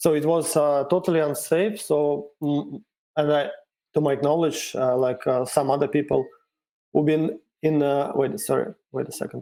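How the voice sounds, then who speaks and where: In a Russian accent, a man with a dark, mellow tone speaks at a fairly high pitch with fairly even intonation. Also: moderate pace. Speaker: cryptocurrency developer. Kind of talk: interview. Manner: halting.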